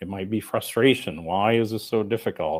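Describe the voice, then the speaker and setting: A man with a plain, everyday voice and an American accent talks at a moderate pace, with a fairly low pitch and ordinary pitch variation. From United States. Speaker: coach and author. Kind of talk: conference talk. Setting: remote presentation to conference audience.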